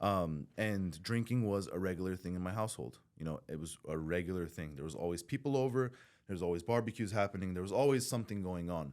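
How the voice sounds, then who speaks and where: In a Southern California accent, a man with a very deep, low voice talks at a very fast pace with lively intonation. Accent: Southern California American English. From Southern California, born in Iran. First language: Farsi (also Armenian). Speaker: recovering addict, former prisoner. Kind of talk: podcast interview, personal testimony. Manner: casual, halting with many fillers.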